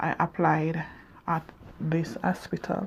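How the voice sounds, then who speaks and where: Somewhat breathy, a woman speaks at a fairly low pitch. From Jamaica. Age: 40s. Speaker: vlogger. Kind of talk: personal testimony. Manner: halting.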